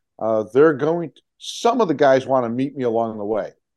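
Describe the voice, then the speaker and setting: Over a quiet background, a man with an American accent uses a plain, everyday voice at a moderate pace with ordinary pitch variation. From Chicago, US Midwest. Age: 60s. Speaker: touring motorcyclist and charity fundraiser. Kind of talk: casual interview.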